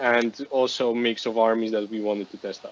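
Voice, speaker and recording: In a Polish accent, a man speaks at a medium pitch. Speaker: wargaming national team selector. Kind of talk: podcast discussion. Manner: halting.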